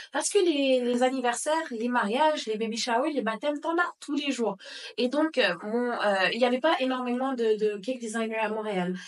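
Over noticeable background noise, a woman talks at a high pitch with ordinary pitch variation. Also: moderate pace. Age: 20s. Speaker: pastry business owner. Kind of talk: interview.

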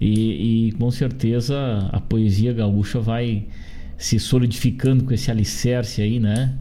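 With a southern Brazilian accent, a man speaks at a fairly slow pace in a medium pitch, his tone dark and mellow. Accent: gaúcho Brazilian Portuguese. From Rio Grande do Sul, Brazil. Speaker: radio host. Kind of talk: radio interview. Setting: studio. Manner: animated.

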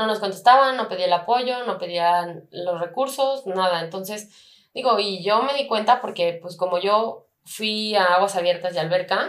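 Speaking in a plain, everyday voice, a woman keeps a medium pitch, ordinary pitch variation and a moderate pace. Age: 20s. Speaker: competitive swimmer. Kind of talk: interview.

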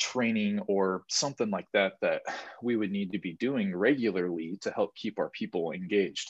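It's a man with a plain, everyday voice, speaking fairly quickly with fairly even intonation. The sound is dry and close with no echo, against a quiet background. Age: 20s. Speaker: podcast co-host, young business owner. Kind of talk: casual chat.

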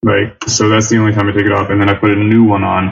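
Over music in the background, a man with a Philadelphia accent talks very fast in a fairly low voice. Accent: Philadelphia American. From US, Philadelphia area. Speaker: English teacher living abroad. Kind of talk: casual chat.

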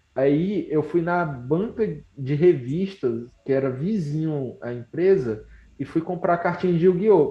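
With lively intonation, a man speaks somewhat breathily at a fairly slow pace. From Brazil, Ceará. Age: 20s. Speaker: entrepreneur. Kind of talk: casual interview.

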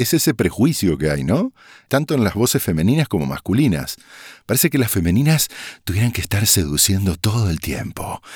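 Recorded very cleanly against a silent background with a dry, close sound and no echo, a man talks at a fairly quick pace, his fairly low pitch swinging very widely. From Argentina, Corrientes (Bella Vista). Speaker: voice-over artist. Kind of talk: casual interview.

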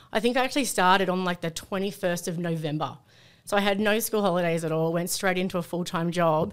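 In an Australian accent, someone speaks at a very fast pace in a very clean recording with a silent background. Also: woman, medium pitch for a woman, ordinary pitch variation. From Sydney, Australia. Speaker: company employee, former navy member. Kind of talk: casual chat.

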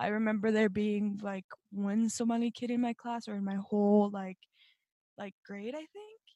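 Recorded dry and close with no echo, a woman speaks in a fairly high pitch with monotone, flat intonation. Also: moderate pace. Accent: American. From Colorado (Fort Morgan, then Denver). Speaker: recent high school graduate, youth storyteller. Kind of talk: casual interview.

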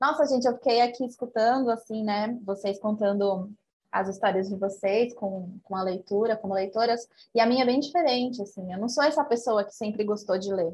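A woman talks at a moderate pace in a somewhat breathy voice. Her pitch is fairly high, with ordinary variation. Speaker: podcast co-host. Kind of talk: casual chat.

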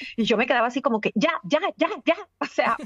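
A woman speaks at a fairly quick pace in a high voice for a woman. Her intonation is lively. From Caribbean coast of Colombia. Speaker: journalist and entrepreneur. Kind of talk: interview.

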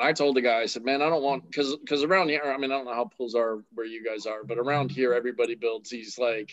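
Delivered at a fairly quick pace, a plain, everyday voice moves with ordinary pitch variation. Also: man. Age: 40s. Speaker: podcast host. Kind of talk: casual chat.

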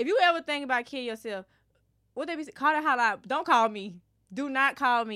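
With a bright, sharp tone and high pitch, a woman speaks in a raised, projected voice at a fairly quick pace, her intonation lively and her loudness swinging widely, in a very clean recording with a silent background. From Alabama, Birmingham area (Irondale). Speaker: podcast co-host. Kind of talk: casual chat.

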